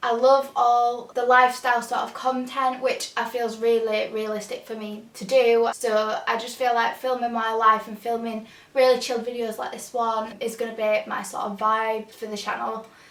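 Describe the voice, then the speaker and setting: A woman with a strong Yorkshire accent, fairly high in pitch, flat and monotone at a moderate pace, with hardly any pauses, big swings in loudness, and audible room echo. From northern England, Huddersfield, Yorkshire. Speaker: lifestyle youtuber and student. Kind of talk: casual Q&A vlog. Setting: home, bedroom.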